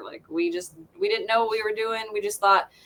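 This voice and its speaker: A woman speaks with a Southern Appalachian accent and ordinary pitch variation. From US South, southwest Virginia. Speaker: metal band musician. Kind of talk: casual chat.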